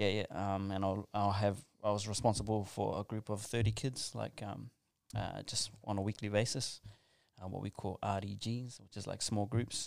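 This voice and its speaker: A man's fairly low, monotone, flat voice with a New Zealand accent at a moderate pace, in a very clean recording with a silent background. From New Zealand, South Auckland. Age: 30s. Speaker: school chaplain and youth worker. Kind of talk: casual interview.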